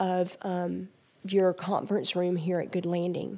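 On a very clean recording with a silent background, a woman with an American accent speaks at medium pitch in a dark, mellow tone with monotone, flat intonation. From Georgia, US South. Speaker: recovery center staff and former addict. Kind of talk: testimony.

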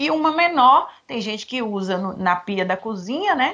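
A woman is speaking. Her pace is moderate. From Minas Gerais, Brazil (near Bahia border). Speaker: personal organizer. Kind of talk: interview.

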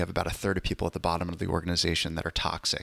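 A man's very deep, low voice with vocal fry at a very fast pace, on a very clean recording with a silent background. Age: 40s. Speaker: emergency physician. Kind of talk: casual chat.

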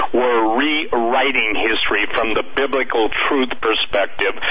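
An animated man's voice over noticeable background noise. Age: 60s. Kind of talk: radio interview. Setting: radio show, remote guest. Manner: animated, emphatic.

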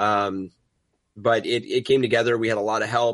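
Recorded with a dry, close sound with no echo against a quiet background, a man talks at a fairly quick pace. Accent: American. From New York City. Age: 30s. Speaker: content director and YouTuber. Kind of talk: casual interview chat.

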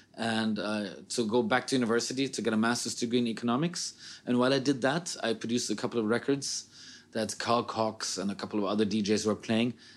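Speaking at a very fast pace, a man with a medium pitch keeps his intonation fairly even in a very clean recording against a silent background. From Sweden, raised in Frankfurt, Germany. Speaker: techno DJ and producer. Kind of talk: interview.

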